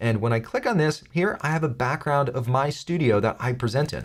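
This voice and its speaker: His voice is somewhat breathy. The man rushes through his words at a very fast pace. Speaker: tech tutorial youtuber. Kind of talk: tutorial. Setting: studio.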